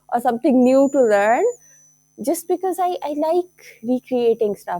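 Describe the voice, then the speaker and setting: A woman with a Pakistani accent speaks at a high pitch in a dark, mellow tone with lively intonation, in a very clean recording with a silent background. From Lahore, Pakistan. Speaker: teacher and craft entrepreneur. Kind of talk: casual talk to camera.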